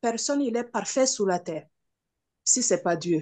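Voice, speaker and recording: A woman talks with a non-native accent. Her intonation is lively. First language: not French (speaking French). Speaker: participant asking a question. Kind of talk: question to preacher. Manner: halting, stammering.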